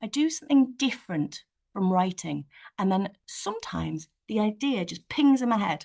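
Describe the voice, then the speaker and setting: The speaker has a northeast English accent and a moderate pace. Their pitch swings very widely. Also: woman. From northeast England. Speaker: children's author. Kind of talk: virtual author talk answering school questions. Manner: animated.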